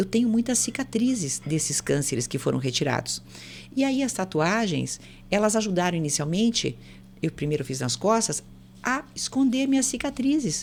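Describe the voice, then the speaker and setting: Over a silent background in a very clean recording, a woman with vocal fry speaks at a moderate pace, her medium pitch making very wide swings. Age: 60s. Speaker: psychologist. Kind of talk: casual chat.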